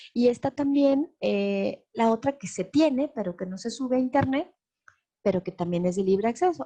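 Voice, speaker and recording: With a dark, mellow tone, a woman speaks at a fairly high pitch, her voice making very wide pitch swings. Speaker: lecturer on transparency law. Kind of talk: webinar lecture. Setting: online webinar.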